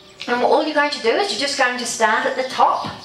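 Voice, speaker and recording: A woman with a New Zealand accent talks at a fairly quick pace in a high pitch. The room echo is audible, and there is noticeable background noise. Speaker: holistic health practitioner and speaker. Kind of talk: workshop talk. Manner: animated.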